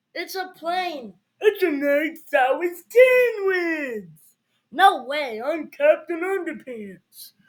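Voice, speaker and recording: A put-on character voice, extremely high-pitched and very slow. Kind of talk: children's read-aloud. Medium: read story. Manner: playful, animated.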